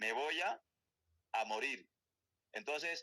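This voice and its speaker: A man with a Colombian accent, fairly high in pitch and bright, sharp in tone, in a dry, close sound with no echo. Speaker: Bible teacher. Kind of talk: Bible study lecture. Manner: fast.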